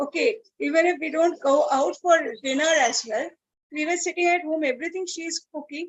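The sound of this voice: A woman speaks at a fairly quick pace. Her pitch is high, with ordinary variation.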